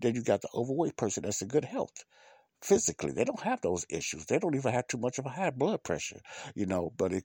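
A man's voice with vocal fry and very wide pitch swings, dry and close with no echo. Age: 50s. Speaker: podcast host. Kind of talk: casual monologue. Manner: halting.

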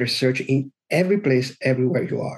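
A man's fairly high voice with an Italian accent and ordinary pitch variation. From Italy. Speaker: SEO consultant. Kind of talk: interview.

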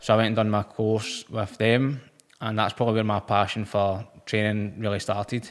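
Man with a Lanarkshire accent, fairly low pitch, monotone, flat intonation and a moderate pace. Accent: Scottish (Lanarkshire). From Scotland, Motherwell. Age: 20s. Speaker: personal trainer and bodybuilder. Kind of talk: casual interview.

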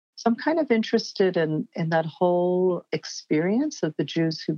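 Using an unremarkable speaking voice, a woman talks at a moderate pace with a fairly low pitch and ordinary pitch variation. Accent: American. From New York. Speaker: cultural anthropologist and writer. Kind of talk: interview.

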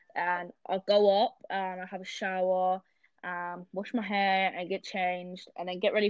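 A woman with a British accent speaks fairly slowly at a medium pitch, her intonation monotone and flat. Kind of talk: casual chat.

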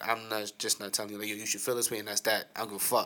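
Bright and sharp in tone, a man speaks at medium pitch. His intonation is fairly even. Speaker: co-host. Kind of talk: casual chat. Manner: loud.

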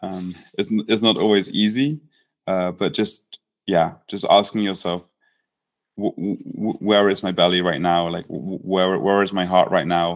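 On a very clean recording with a silent background, a man with a very deep, low pitch talks at a fairly slow pace with fairly even intonation. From England. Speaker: startup founder and founder coach. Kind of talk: interview. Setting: in person, same room.

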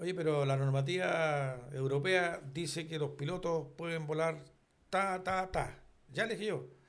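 Audible room echo surrounds a man speaking in a fairly high pitch with lively intonation. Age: 70s. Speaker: retired airline pilot and flight instructor. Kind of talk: casual chat. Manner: halting.

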